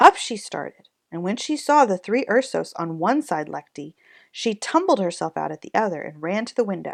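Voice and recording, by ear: Natural read-aloud voice over quiet surroundings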